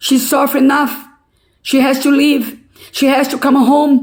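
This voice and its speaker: A woman speaks at a high pitch and a fairly slow pace. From Brazil. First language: Portuguese. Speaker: vlogger telling a family story. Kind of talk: personal testimony. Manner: emotional.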